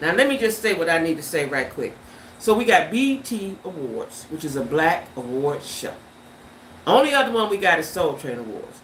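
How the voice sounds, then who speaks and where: Over noticeable background noise and audible room echo, a woman of medium pitch speaks at a moderate pace in an animated tone, with very wide pitch swings. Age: 70s. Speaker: YouTube livestreamer. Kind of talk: casual livestream chat. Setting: livestream.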